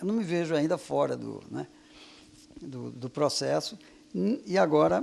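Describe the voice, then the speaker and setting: A man's voice with very wide pitch swings. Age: 60s. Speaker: physics professor and researcher. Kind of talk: interview. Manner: hesitant, many fillers.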